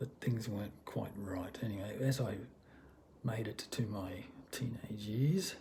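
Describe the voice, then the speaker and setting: A man's fairly low voice with ordinary pitch variation, a fairly slow pace and audible room echo. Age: 60s. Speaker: vlogger. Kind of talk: personal testimony vlog. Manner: halting, many fillers.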